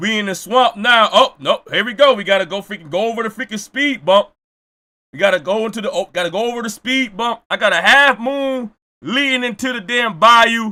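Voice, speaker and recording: Raised and projected, a man's high voice sounds animated with ordinary pitch variation. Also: fairly quick pace. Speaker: streamer reacting to videos. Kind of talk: casual live-stream chat. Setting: live stream. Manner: stumbling over words.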